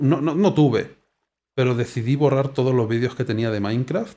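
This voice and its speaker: The man has a dark, mellow tone. He speaks at a fairly slow pace with ordinary pitch variation. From Spain. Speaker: gaming YouTuber. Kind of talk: gameplay commentary. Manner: casual, hesitant.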